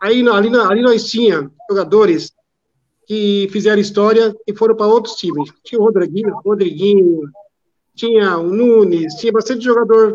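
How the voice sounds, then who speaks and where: The speaker is a man with a high-pitched voice. He talks at a moderate pace with ordinary pitch variation. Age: 50s. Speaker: retired football fan. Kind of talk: casual live-stream chat. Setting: online live stream.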